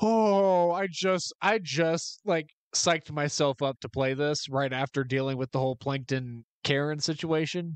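A man talks at a fairly slow pace with ordinary pitch variation. The sound is dry with no echo, the loudness very even, and the background quiet. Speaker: gamer streamer. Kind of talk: gameplay commentary. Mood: amused disbelief, laughing reactions. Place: home room. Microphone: studio mic.

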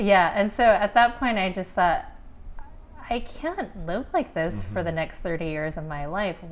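With an American accent, a woman speaks at a moderate pace. Long, frequent pauses break up her speech. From Pittsburgh, US. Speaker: author and life coach. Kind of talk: interview. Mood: warm, smiling, open. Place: studio. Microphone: lapel.

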